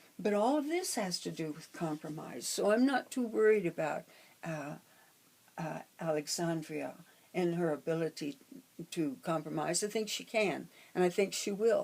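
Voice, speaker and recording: A woman speaks at a moderate pace with a fairly low pitch and vocal fry. Her intonation is lively, broken by long, frequent pauses. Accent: American. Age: 80s+. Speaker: astrologer. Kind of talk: casual talk on astrology. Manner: halting, many fillers.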